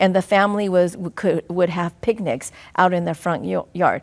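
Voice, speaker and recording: A woman with a Southeast Asian accent speaks at a medium pitch in a very clean recording with a silent background. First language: Hmong. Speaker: school district superintendent. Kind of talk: interview. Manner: halting.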